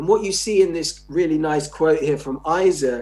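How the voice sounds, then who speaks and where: With music in the background, a man with an English accent speaks at a fairly high pitch and a moderate pace. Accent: received pronunciation. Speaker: sociology professor. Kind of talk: lecture. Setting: conference keynote.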